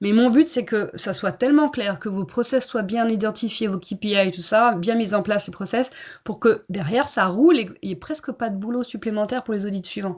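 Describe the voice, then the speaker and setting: A woman's fairly high, somewhat breathy voice, fairly quick, with ordinary pitch variation and a quiet background. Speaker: certification consultant and coach. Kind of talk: webinar presentation.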